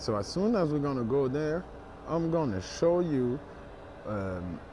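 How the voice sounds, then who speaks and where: Very wide pitch swings at a fairly slow pace, a dry sound with no echo, and light background noise. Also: man. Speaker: vlogger. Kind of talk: casual vlog chat. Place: street. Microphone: earbuds.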